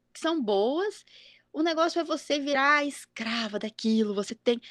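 The woman's voice is high and swings very widely in pitch at a fairly slow pace. The sound is dry and close, with no echo. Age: 30s. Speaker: podcast host, mother. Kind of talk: casual chat.

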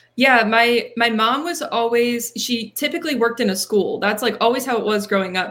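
On a very clean recording with a silent background, a woman with an American accent talks at a fairly quick pace, her fairly high pitch showing ordinary variation. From Pennsylvania, Reading area. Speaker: marketing manager and podcast host. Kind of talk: interview.

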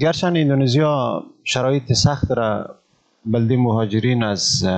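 With ordinary pitch variation, a man talks in a plain, everyday voice. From Afghanistan, Ghazni province (Malistan). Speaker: refugee and volunteer teacher. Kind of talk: casual interview.

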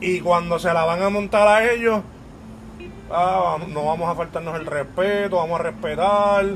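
With a Puerto Rican accent, a man talks at a fairly slow pace in a high-pitched voice with fairly even intonation. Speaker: podcast host. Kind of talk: casual chat.

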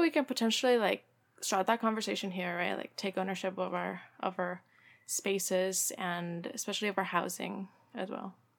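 A woman speaks with a Spanish accent at a medium pitch. Her pitch varies in an ordinary way. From Mexico. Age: 20s. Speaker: community organizer. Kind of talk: casual interview.

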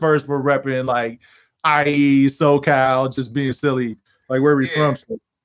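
At a moderate pace, a man with a fairly high pitch talks in a plain, everyday voice. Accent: American. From Texas (Killeen), military family. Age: 40s. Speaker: rapper and producer. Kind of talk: interview.

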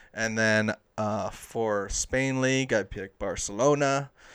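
A man with a Southern California accent speaks at a medium pitch, his intonation fairly even. The recording is very clean, with a silent background. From Los Angeles, San Fernando Valley. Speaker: sports podcast host. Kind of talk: casual solo podcast monologue.

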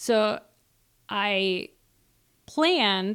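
A woman speaks with an Upper Midwest accent at medium pitch and with ordinary pitch variation. The recording is very clean, with a silent background. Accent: Upper Midwest (Minnesota). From Minnesota. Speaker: veteran and mother, dating podcast guest. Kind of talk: casual interview chat.

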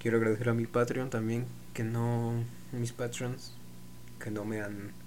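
A man speaks at a fairly slow pace in a dark, mellow tone with monotone, flat intonation, and audible room echo surrounds his voice. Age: 20s. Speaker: podcaster. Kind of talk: solo monologue. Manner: halting.

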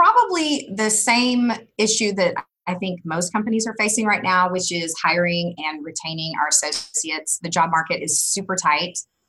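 A woman speaks at a moderate pace with an American accent. She has a plain, everyday voice, medium pitch and ordinary pitch variation. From Kansas, US Midwest. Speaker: HR executive. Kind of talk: interview. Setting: home office.

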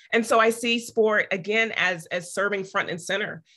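This woman has a bright, sharp tone and an American accent. She speaks at a moderate pace with ordinary pitch variation. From Topeka, Kansas. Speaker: professor. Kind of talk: panel discussion.

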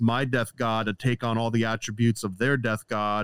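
A man with an American accent and a plain, everyday voice speaks at medium pitch. The recording is very clean with a silent background, dry and close with no echo. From upstate New York. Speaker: comic book artist. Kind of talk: casual chat.

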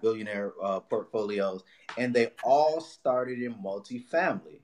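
In a Los Angeles accent, the voice moves at a moderate pace with ordinary pitch variation. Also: man. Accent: Los Angeles American English. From Watts, Los Angeles. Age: 30s. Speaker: real estate broker and investor. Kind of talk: podcast interview.

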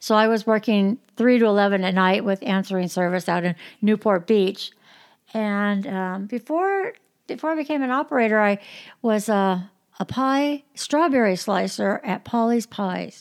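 A woman with an American accent, a fairly high pitch and ordinary pitch variation at a moderate pace, in a very clean recording with a silent background. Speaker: podcaster. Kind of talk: casual chat. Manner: animated, laughing a lot.

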